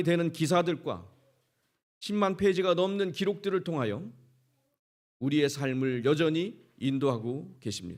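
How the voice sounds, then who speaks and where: On a very clean recording with a silent background, a man with a Chungcheong accent speaks at a fairly slow pace and a fairly high pitch, with ordinary pitch variation and long, frequent pauses. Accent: Chungcheong dialect, unchanged. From Korea, Chungcheong region. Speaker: pastor, guest speaker. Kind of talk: sermon. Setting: church, revival meeting with congregation.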